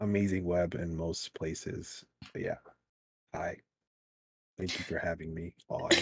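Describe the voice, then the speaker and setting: A man puts on a robotic character voice with a very deep, low pitch. He speaks at a moderate pace in a flat monotone, with long, frequent pauses. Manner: stiff, robotic.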